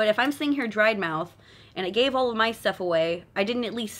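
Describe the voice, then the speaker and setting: In a Californian accent, a woman with a fairly high pitch talks in an animated tone with lively intonation. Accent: Californian valley girl. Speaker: tarot card reader. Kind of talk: live stream card reading. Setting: live stream at home. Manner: fast.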